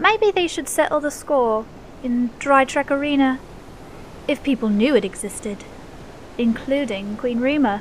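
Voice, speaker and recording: A woman's high-pitched voice moves at a fairly slow pace with lively intonation and long, frequent pauses, against noticeable background noise. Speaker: poet narrator. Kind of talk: spoken-word poetry, rhyming verse. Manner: rhythmic, sing-song, theatrical; animated storyteller, inviting tone.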